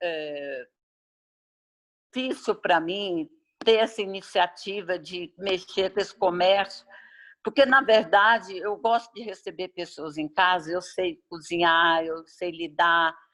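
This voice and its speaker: A woman's bright, sharp, medium-pitched voice at a very slow pace, with ordinary pitch variation and big swings in loudness. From Goiás, Brazil (rural, near Pirenópolis). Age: 70s. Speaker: farm owner, rural tourism host. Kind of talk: interview, personal memories. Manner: halting.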